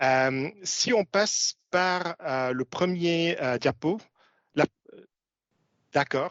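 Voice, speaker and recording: With a non-native accent, a man speaks at a high pitch with ordinary pitch variation. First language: not French (speaking French). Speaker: commodities analyst. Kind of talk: webinar presentation. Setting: webinar. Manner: halting, many filler sounds.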